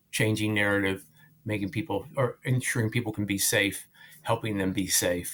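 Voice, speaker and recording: A man with an American accent talks in a normal speaking voice at a moderate pace. His intonation is fairly even, and his loudness is very even. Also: fairly low pitch for a man. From rural Missouri. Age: 60s. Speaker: nonprofit leader. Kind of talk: interview.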